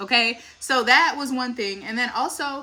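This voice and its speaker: A woman's raised, projected voice, high in pitch, with an animated tone, an American accent, ordinary pitch variation and a moderate pace. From US South, Dallas, Texas. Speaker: family vlogger. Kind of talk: casual chat.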